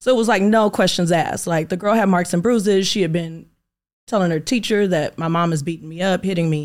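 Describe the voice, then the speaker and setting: An unremarkable speaking voice from a woman with an American accent, medium in pitch, fairly quick, with ordinary pitch variation, in a very clean recording with a silent background. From Inglewood, California. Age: 30s. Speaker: magazine owner and beauty supply entrepreneur. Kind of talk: interview.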